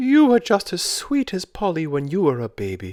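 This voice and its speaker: A man puts on a high-pitched character voice at a moderate pace. The recording is very clean, with a silent background. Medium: read story.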